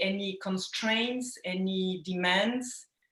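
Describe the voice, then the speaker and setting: A woman speaks at a medium pitch with ordinary pitch variation. Audible room echo surrounds her voice. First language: not English. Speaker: philanthropic fund founder. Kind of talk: audience question. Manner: halting.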